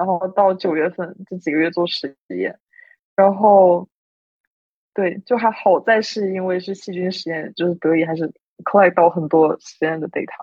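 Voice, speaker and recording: This is an ordinary speaking voice from a woman at medium pitch. She talks at a moderate pace. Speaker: university student, competition participant. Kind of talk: casual chat.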